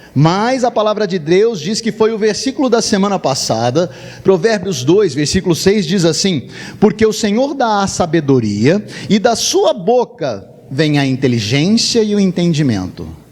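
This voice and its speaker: Over noticeable background noise, a man speaks fairly slowly in a high voice with very wide pitch swings. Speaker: pastor. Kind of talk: sermon. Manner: animated.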